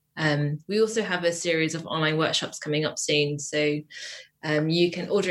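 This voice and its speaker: With a southern English accent, a woman speaks in a very deep, low pitch at a moderate pace and fairly even intonation. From England, Wiltshire. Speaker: printmaker. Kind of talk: interview.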